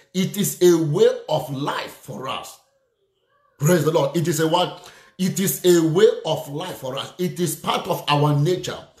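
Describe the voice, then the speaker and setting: The delivery is fairly slow, and the intonation stays fairly even throughout. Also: man, high pitch for a man. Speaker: preacher. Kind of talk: sermon with prayer and call-and-response. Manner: fervent, exclamatory, punctuated by repeated hallelujahs; rhythmic, repeating phrases for emphasis, directly addressing listeners.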